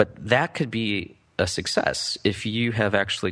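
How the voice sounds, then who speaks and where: A man with an American accent talks in a bright, sharp tone. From US Midwest. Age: 30s. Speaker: startup educator, former venture capital worker. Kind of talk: interview. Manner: halting, many fillers and restarts.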